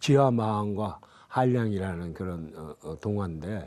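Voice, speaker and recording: Very wide pitch swings run through a man's dark, mellow tone. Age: 80s+. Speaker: novelist. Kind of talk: interview answer.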